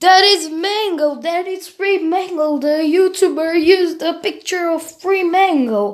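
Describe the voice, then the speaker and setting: In a put-on character voice, the speaker uses an extremely high pitch at a fairly slow pace. There are hardly any pauses. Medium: solo performance.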